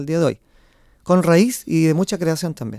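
In a very clean recording with a silent background, a man with a high pitch and a dark, mellow tone talks at a fairly quick pace. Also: dry, close sound with no echo. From central Chile, Quillota. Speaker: folk group director and researcher. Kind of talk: radio interview.

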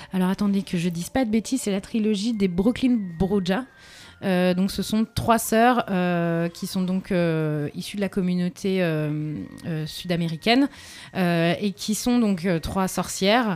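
The pace of speech is very slow. The pitch varies in an ordinary way. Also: woman, medium pitch for a woman. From southern France. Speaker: radio columnist. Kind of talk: radio chronicle, casual monologue.

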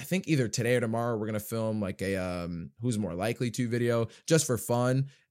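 A man with an American accent speaks at a moderate pace in an ordinary speaking voice, his fairly low pitch showing ordinary variation, on a very clean recording with a silent background. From US, New Jersey and various states. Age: 20s. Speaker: YouTuber and actor. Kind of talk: casual interview chat.

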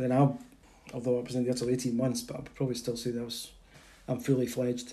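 A man with a Perthshire accent speaks at a medium pitch in a flat monotone. He talks very fast, yet with long, frequent pauses. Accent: Scottish (Perthshire). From Scotland, Perth (Muirton). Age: 60s. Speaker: local resident sharing childhood memories. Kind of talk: casual chat.

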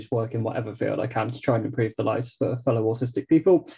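A man's voice sits at medium pitch with a dark, mellow tone and is somewhat breathy.

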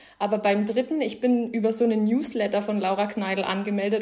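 Speaking at a fairly quick pace, a woman with a fairly high pitch keeps a monotone, flat intonation over noticeable background noise. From Bavaria, Germany. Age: 20s. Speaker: book influencer. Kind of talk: casual chat.

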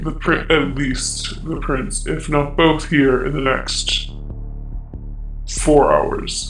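A man does a put-on character voice at a very slow pace with long, frequent pauses. Background noise is clearly audible. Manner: menacing, businesslike.

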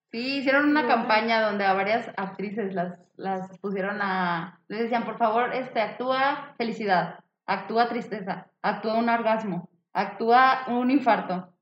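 Pitch rises and falls in the usual way, and the pace is fairly slow. Overall it is a plain, everyday voice. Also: woman, fairly high pitch for a woman. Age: 20s. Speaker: biotechnology student podcast co-host. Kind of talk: casual chat.

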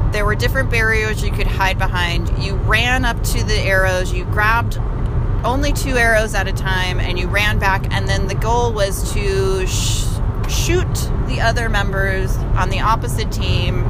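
A moderate pace with very even loudness, amid audible room echo and noticeable background noise. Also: woman. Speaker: podcast co-host. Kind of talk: casual chat. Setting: in a car.

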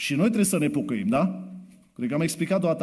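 A man speaks very fast at a fairly high pitch, with vocal fry. The room echo is audible. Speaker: preacher. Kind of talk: sermon. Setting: church. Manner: soft-spoken.

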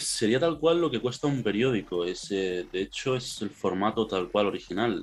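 In a Castilian accent, a man speaks with a medium pitch and lively intonation. His pace is moderate, with hardly any pauses. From Spain. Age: 20s. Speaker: anime fan guest. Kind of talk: casual chat.

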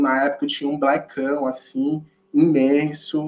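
This man speaks with a northeastern Brazilian accent. His intonation is lively. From Olinda, Pernambuco, northeast Brazil. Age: 20s. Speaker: educator. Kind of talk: podcast interview.

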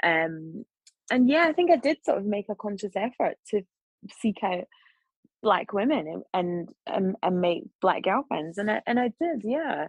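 With a Scottish accent, a woman talks fairly slowly at a medium pitch, her pitch swinging very widely, in a dry, close recording with no echo. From Scotland, Glasgow. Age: 40s. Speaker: journalist and broadcaster. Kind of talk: casual chat. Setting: video call.

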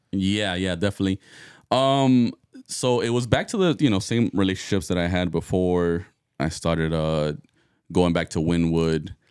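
A man with a very deep, low voice speaks at a moderate pace with ordinary pitch variation on a very clean recording against a silent background. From Miami. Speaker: DJ. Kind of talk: casual chat.

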